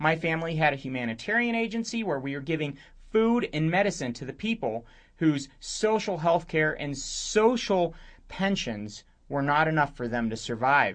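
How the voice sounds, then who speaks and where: Over a quiet background, a man with a fairly high pitch talks at a moderate pace, his voice making very wide pitch swings. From Romania. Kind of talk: radio talk monologue.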